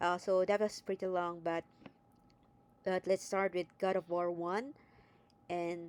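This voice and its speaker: A woman with a non-native accent talks at a fairly low pitch and a fairly slow pace, leaving long, frequent pauses. Her intonation is monotone and flat, and the sound is dry and close with no echo. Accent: non-native accent, self-noted. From neither Greece nor US. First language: not English. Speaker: video game commentator. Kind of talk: casual video commentary. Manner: hesitant, with fillers.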